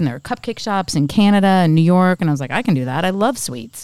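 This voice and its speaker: Her voice moves through very wide pitch swings as the woman speaks. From Pittsburgh. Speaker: bakery and wine bar owner. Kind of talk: casual chat. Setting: host's home. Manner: animated.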